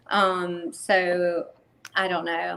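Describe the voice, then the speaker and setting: Speaking with a Southern US accent, the woman has a fairly low pitch. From North Carolina. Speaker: country singer. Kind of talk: casual chat.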